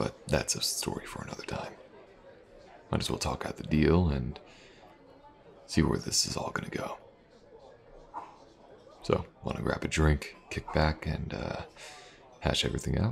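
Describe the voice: A man's put-on character voice, extremely low with vocal fry, at a fairly slow pace with long, frequent pauses. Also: ordinary pitch variation.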